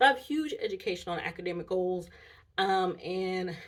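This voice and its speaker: A woman speaks at a medium pitch. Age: 30s. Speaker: vlogger and college student. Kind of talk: casual chat. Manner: casual, with many fillers.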